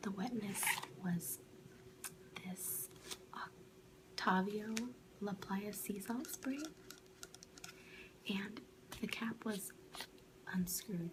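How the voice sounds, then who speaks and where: The speech is a soft-spoken whisper at a very slow pace. Long, frequent pauses break it up. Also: woman. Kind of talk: ASMR product review, whispered to camera. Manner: soft-spoken, whispering.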